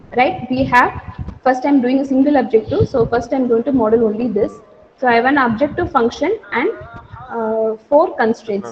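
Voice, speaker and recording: Noticeable background noise sits behind a woman's voice. Her pitch is high, with ordinary variation. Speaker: lecturer. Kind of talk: lecture. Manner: fast.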